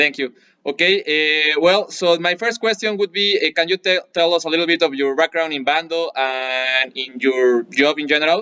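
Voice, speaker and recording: Speaking at a moderate pace with hardly any pauses, a man uses a fairly high pitch with ordinary variation. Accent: Spanish. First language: Spanish. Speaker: martial arts instructor and channel host. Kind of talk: interview with translation. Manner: halting.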